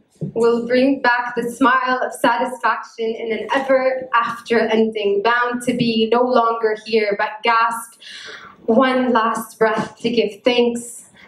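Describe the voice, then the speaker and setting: A woman's fairly high voice, very slow and monotone with flat intonation, in audible room echo. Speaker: poet. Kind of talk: spoken word poetry performance. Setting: live event. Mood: tender, emotional. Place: hall. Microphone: handheld.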